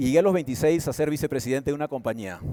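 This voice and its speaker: A man's dark, mellow tone carries ordinary pitch variation. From Peru. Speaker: conference speaker, advertising executive. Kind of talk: motivational talk.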